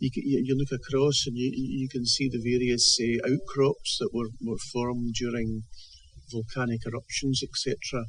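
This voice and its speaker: Speaking with a Scottish accent, a man holds a medium pitch in flat, monotone intonation. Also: moderate pace. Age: 70s. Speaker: author. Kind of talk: interview. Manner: halting, many repetitions and fillers.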